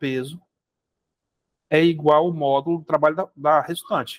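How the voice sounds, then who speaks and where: Here a man talks at a fairly slow pace with fairly even intonation and a fairly high pitch. The sound is dry and close, with no echo. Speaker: physics teacher. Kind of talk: lecture.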